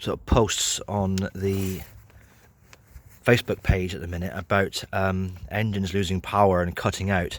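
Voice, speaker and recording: Over a very clean recording with a silent background, a man with a very deep, low pitch and a southern English accent talks at a moderate pace in a monotone, flat intonation. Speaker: car mechanic vlogger. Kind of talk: tutorial. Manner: hesitant, many fillers.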